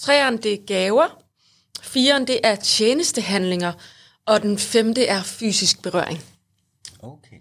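On a very clean recording with a silent background, a woman speaks at a very slow pace with long, frequent pauses. Her fairly high voice has lively intonation and big swings in loudness. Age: 40s. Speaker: podcast co-host. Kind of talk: casual chat.

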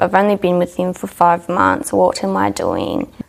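A woman with an Australian accent talks at a moderate speed. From Australia, New South Wales (Dubbo). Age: young. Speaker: hairdressing apprentice. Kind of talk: interview, personal story.

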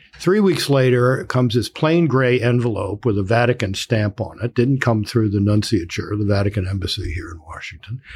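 The voice is somewhat breathy, with lively intonation. It moves at a moderate pace with hardly any pauses. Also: man, medium pitch for a man. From Baltimore, US. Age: 70s. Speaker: author and political analyst. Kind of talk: casual interview conversation.

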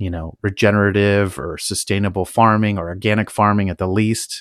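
In an American accent, a man with a fairly low voice talks at a moderate pace, the recording very clean with a silent background and a dry, close sound with no echo. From California, Napa Valley. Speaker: podcast host, hobby cannabis grower. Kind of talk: solo monologue, personal story. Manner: casual with many filler words.

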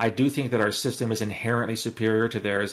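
A man with a Canadian accent has an unremarkable speaking voice at a medium pitch, talking at a fairly quick pace with fairly even intonation in a very clean recording with a silent background. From Canada. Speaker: former intelligence officer. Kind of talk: casual interview.

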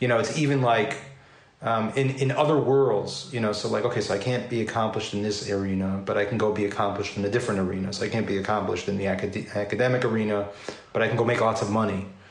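A man talks at a very fast pace in a fairly low pitch. His intonation stays fairly even over noticeable background noise. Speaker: podcast host. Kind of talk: casual interview.

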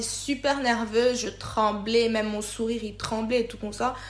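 A woman with an ordinary speaking voice talks fairly slowly, her pitch fairly high. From DR Congo (Kisangani, Kinshasa). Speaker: payroll manager. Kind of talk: personal story interview.

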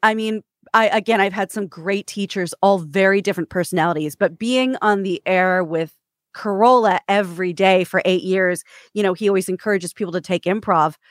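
An ordinary speaking voice from a woman at a medium pitch and fairly quick pace, with a dry, close sound and no echo. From Kansas and New York. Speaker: radio host and author. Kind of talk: casual interview chat.

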